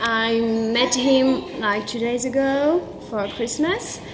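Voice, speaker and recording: A woman with a French accent at a very slow pace, with audible room echo and noticeable background noise. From France. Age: 20s. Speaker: travel vlogger. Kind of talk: casual interview. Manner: halting.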